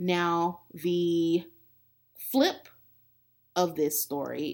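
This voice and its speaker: A woman's fairly low-pitched voice on a very clean recording with a silent background. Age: 30s. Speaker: podcast host and life coach. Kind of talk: solo motivational talk.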